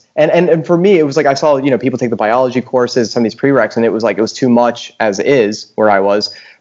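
Medium-pitched male speech in a normal speaking voice, its pitch varying in an ordinary way. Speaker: podcast co-host. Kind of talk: casual chat.

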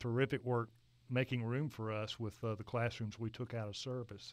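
Against a silent background in a very clean recording, an unremarkable speaking voice proceeds at a moderate pace. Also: man. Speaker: architect. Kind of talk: interview conversation.

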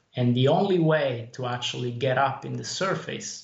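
A man is speaking here. Audible room echo can be heard. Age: 30s. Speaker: indie game developer. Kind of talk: interview. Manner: halting.

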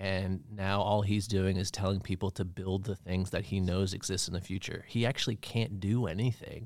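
In a plain, everyday voice with an American accent, the speaker keeps a moderate pace with fairly even intonation and hardly any pauses, on a very clean recording with a silent background. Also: man, fairly low pitch for a man. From Maine, US (Bar Harbor). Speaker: marketing professional. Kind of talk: casual chat. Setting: studio.

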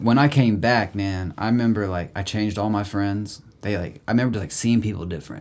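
A man with an American accent and an ordinary speaking voice talks at a fairly quick pace with hardly any pauses. His pitch is fairly low with ordinary variation, on a very clean recording with a silent background. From Indiana, Indianapolis. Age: 30s. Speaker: musician. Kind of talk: casual chat. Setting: studio.

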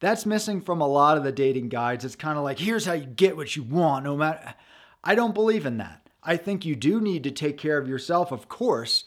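A man with an ordinary speaking voice talks at a fairly quick pace in a fairly high pitch. His intonation is lively, and the recording is very clean with a silent background. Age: 40s. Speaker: podcast host and dating coach. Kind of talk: solo podcast monologue. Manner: casual, conversational.

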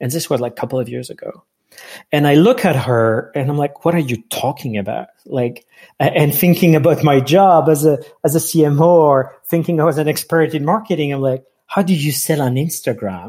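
Speaking fairly quickly in a French accent, a man has a fairly high, somewhat breathy voice with a dark, mellow tone and ordinary pitch variation. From France. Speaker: marketing executive. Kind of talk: interview, casual chat.

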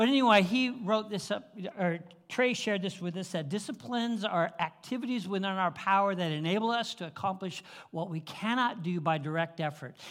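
Here a man talks at a fairly quick pace in a high voice. His pitch varies in an ordinary way. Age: 70s. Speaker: lay preacher. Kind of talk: sermon. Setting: church. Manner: halting.

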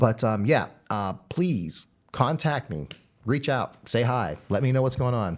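A man's medium-pitched voice with vocal fry and lively intonation, fairly slow in pace, on a very clean recording with a silent background. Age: 40s. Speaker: local video storyteller. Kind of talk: casual chat.

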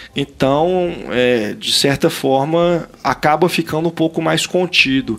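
Very slow male speech, fairly high in pitch, with ordinary pitch variation. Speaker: film critic podcast host. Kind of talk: casual chat. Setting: video call.

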